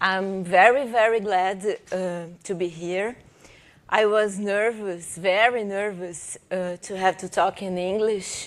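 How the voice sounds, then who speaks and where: A woman with a Brazilian Portuguese accent speaks at a very slow pace and a medium pitch. Her intonation is fairly even, and the recording is very clean with a silent background. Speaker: professor and researcher. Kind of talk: conference presentation. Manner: reading aloud from script; halting, many fillers.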